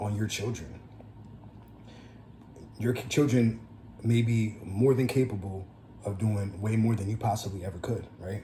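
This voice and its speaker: A fairly low, somewhat breathy male voice with a dark, mellow tone and a New Jersey accent. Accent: New Jersey American English. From New Jersey, USA. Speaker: entrepreneur, record label owner. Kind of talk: casual talk to camera.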